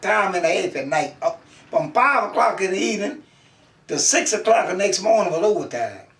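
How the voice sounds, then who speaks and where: A man with a high pitch and very wide pitch swings speaks at a moderate pace against noticeable background noise. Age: 90s. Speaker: elderly interviewee. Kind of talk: oral history interview. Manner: halting.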